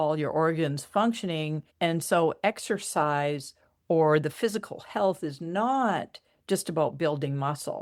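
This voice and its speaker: Heard on a very clean recording with a silent background, a woman with an ordinary speaking voice talks at a fairly low pitch with ordinary variation. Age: 60s. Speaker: spiritual coach and energy healer. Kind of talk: casual interview chat.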